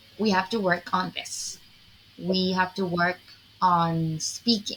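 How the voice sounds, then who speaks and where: Over music in the background, a woman at medium pitch talks at a very slow pace. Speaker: English teacher. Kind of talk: online English class.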